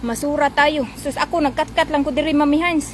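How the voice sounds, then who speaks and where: A woman talks at a fairly quick pace in an animated tone, her pitch high. The sound is dry with no echo, with light background noise. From Philippines. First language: Cebuano (speaking Tagalog). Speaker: vlogger. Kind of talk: live stream commentary. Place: street. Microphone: phone near.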